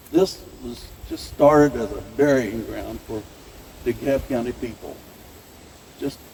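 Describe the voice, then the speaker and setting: Noticeable background noise sits behind a man who speaks at a moderate pace in a Midwestern US accent. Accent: rural Midwestern American. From northern Missouri, US Midwest. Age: 80s+. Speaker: farmer and event host. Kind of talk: welcome speech. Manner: casual, folksy with hesitations.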